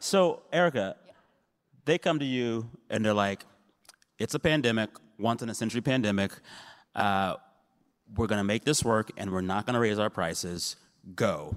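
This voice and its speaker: A man with an American accent and medium pitch talks at a moderate pace with lively intonation and long, frequent pauses, in a very clean, dry, close recording with a silent background and no echo. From San Antonio, Texas. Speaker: panel moderator. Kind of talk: panel discussion. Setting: stage with audience.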